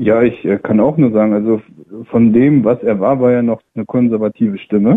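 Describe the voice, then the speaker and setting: A man speaks in an ordinary speaking voice at a medium pitch. His intonation is fairly even and his pace moderate. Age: 20s. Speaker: caller. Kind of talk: call-in radio discussion.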